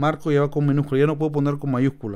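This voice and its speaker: This is a man speaking. His voice has a fairly high pitch. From Peru, Lima. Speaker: YouTube instructor. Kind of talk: tutorial. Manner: casual, with fillers.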